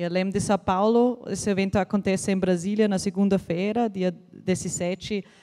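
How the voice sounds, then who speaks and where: Speaking in a dark, mellow monotone at medium pitch, a woman talks with an Austrian accent. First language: German (speaking Portuguese). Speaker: embassy representative. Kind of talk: opening speech. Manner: halting, many hesitations.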